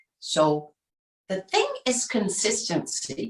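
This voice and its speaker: A woman speaks in a voice that is somewhat breathy. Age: 60s. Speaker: nutritionist. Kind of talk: casual talk on a group call.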